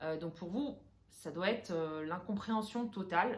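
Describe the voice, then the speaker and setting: This woman's voice is somewhat breathy and sits at a medium pitch. Her pitch varies in an ordinary way. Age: 30s. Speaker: interior decorator and vlogger. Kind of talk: personal vlog talking to camera. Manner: hesitant, many filler sounds; casual, mixes English phrases.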